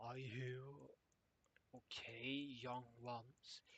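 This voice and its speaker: A man puts on a character voice, raspy and medium in pitch. The delivery is monotone and flat. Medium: read story. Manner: kindly, weary.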